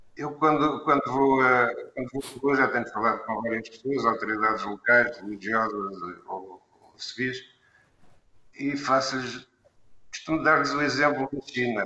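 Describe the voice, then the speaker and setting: A man speaks at a fairly slow pace in an unremarkable speaking voice of medium pitch. His pitch variation is ordinary, while his loudness swings widely. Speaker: foundation administrator. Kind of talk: interview discussion.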